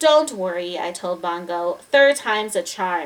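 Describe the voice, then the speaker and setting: In a put-on character voice, a woman talks at a moderate pace with a medium pitch. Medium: read story. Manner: calm, gentle.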